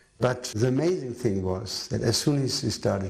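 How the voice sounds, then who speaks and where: Vocal fry marks this man's voice, with audible room echo around it. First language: not English. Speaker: devotee recalling memories. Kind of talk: documentary interview.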